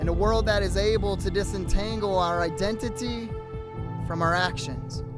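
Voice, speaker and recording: A man talks at an even, moderate speed as music plays behind him. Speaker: pastor. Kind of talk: spoken word poetry performance.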